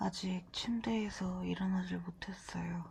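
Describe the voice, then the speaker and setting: A woman is speaking. Her pace is very slow. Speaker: diet vlogger. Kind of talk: vlog narration. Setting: at home in bed.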